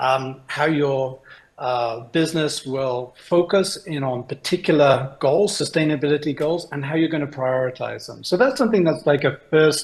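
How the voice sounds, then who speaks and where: A somewhat breathy voice with a British accent, moderate pace and ordinary pitch variation. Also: man. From United Kingdom. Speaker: innovation consultant. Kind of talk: presentation talk. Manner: hesitant, many fillers.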